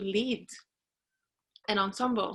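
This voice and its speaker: With a Norwegian accent, a woman talks at medium pitch in a bright, sharp tone with ordinary pitch variation. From Norway. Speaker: trumpeter. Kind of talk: interview. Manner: halting.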